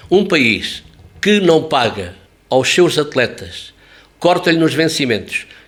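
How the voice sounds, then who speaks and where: A man's fairly high-pitched voice with vocal fry and lively intonation. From Alentejo, Portugal. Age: 70s. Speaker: sports journalist. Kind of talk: interview. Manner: animated.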